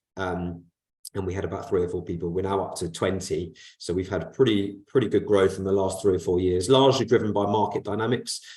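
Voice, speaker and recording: Very fast and somewhat breathy, a man talks with a very deep, low pitch and a dark, mellow tone. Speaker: corporate finance advisor. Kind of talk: webinar presentation. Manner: hesitant, many fillers.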